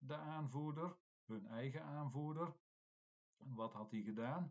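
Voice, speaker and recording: Here a man talks at a very slow pace. His intonation is lively. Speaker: Latin teacher. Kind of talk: classroom text explanation. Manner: hesitant, explanatory.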